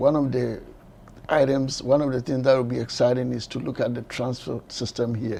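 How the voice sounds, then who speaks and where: With a dark, mellow tone, a man talks at a moderate pace and medium pitch in a monotone, flat intonation. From Ghana. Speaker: transit administrator. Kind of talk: interview. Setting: his office.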